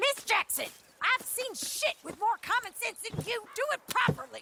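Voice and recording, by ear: Putting on a character voice, a woman speaks at an extremely high pitch with big pitch swings, vocal fry and a bright, sharp tone. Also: moderate pace.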